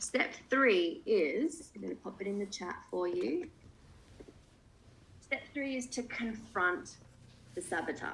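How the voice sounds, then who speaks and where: Speaking at a very slow pace with long, frequent pauses, a woman uses a fairly high pitch with very wide pitch swings and vocal fry. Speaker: coach. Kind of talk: online workshop.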